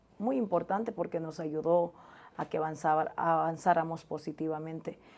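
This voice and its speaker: A woman speaks at a fairly slow pace in a dark, mellow tone. The recording is very clean, with a silent background. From Honduras, La Mosquitia (Puerto Lempira). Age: 30s. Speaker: journalist. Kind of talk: interview.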